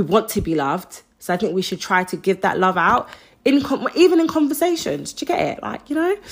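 A woman talks at a fairly quick pace with an animated tone and very wide pitch swings. She speaks with a London accent. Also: fairly high pitch for a woman. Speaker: podcast host. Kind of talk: solo monologue. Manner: loud.

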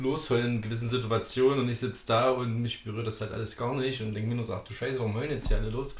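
Heard with audible room echo, a man talks over noticeable background noise. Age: 20s. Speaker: podcast guest. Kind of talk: casual chat.

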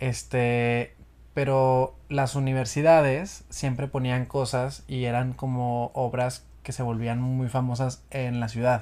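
A very slow delivery, very clean recording and silent background. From Monterrey, northeastern Mexico. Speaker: musical theatre actor. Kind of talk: casual chat.

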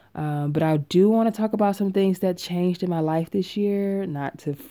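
Over a very clean recording with a silent background, a woman speaks in a dark, mellow tone with ordinary pitch variation. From Tennessee. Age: 20s. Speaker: podcast host. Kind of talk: casual monologue. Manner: talkative.

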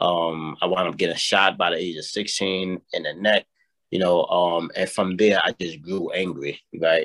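A man with a New York accent speaks at a fairly slow pace in a very deep, low voice, his delivery flat and monotone, the sound dry and close with no echo. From New York, South Bronx. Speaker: mentoring program director. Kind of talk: interview. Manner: hesitant, many fillers and repetitions.

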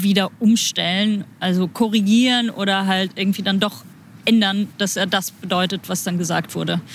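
The recording is very clean, with a silent background. A woman speaks at a moderate pace with a medium pitch and a somewhat breathy voice. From Germany. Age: 30s. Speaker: interpreter. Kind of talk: casual interview.

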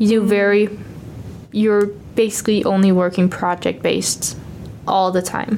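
Against noticeable background noise, a woman of medium pitch speaks at a moderate pace in a monotone, flat intonation, her loudness very even and her pauses long and frequent. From Denmark. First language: Danish. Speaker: exchange student. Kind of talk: casual chat. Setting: studio.

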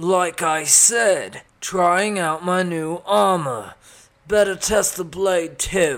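The voice is a put-on character. It moves at a very slow pace. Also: man, high pitch for a man. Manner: taunting, reckless.

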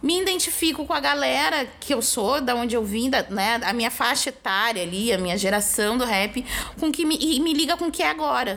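A high-pitched woman speaks in a southern Brazilian accent with very wide pitch swings and hardly any pauses. Her loudness stays very even over noticeable background noise. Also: moderate pace. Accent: southern Brazilian (gaúcho) Portuguese. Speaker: podcast host and rapper. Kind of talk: casual chat.

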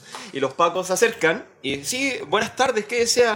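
Behind a man speaking at a moderate pace, background noise is noticeable. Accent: Chilean. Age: 30s. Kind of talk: casual chat.

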